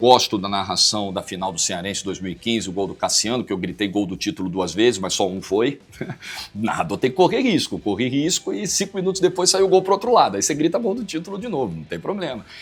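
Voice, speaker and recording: Speaking at a very fast pace with a Rio de Janeiro accent, this voice swings very widely in pitch. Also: man, medium pitch for a man. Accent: Carioca Brazilian Portuguese. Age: 40s. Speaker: football commentator. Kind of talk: interview answer.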